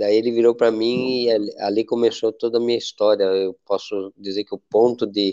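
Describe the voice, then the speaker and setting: Here a man talks at a moderate pace with medium pitch and a monotone, flat intonation. His tone is dark and mellow, the sound dry and close with no echo, over a quiet background. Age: 60s. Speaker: nonprofit president. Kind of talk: interview. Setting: audio live.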